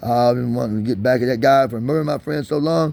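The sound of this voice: A man talks at a fast pace with vocal fry and a slightly mellow tone. His pitch variation is ordinary. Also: medium pitch for a man.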